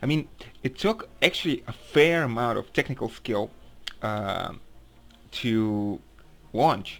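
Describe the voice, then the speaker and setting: Speaking at a very slow pace with long, frequent pauses, a man with a non-native accent uses lively intonation at medium pitch on a very clean recording with a silent background. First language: not English. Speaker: gaming video reviewer. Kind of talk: casual game review monologue. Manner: halting, many fillers and restarts.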